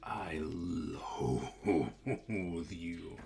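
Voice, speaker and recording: In a put-on character voice, a man growls quietly at a very deep, low pitch over light background noise. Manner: quiet, seething.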